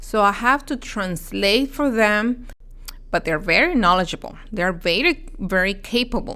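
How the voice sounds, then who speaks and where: In a very clean recording with a silent background, a woman with a Spanish accent speaks fairly slowly in a bright, sharp, fairly high voice with very wide pitch swings. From Mexico. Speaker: dietitian. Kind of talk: interview. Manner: halting, with frequent fillers.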